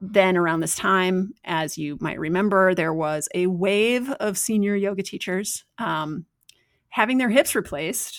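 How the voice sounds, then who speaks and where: A woman talks fairly slowly in a plain, everyday voice at a medium pitch with ordinary pitch variation. The recording is very clean, with a silent background. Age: 40s. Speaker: yoga teacher and strength coach. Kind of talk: casual interview.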